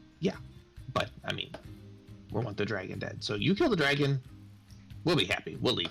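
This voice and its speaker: Clear music plays behind a man putting on a character voice at a medium pitch. He talks at a fairly quick pace but with long, frequent pauses. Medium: actual play. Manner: scornful, blunt.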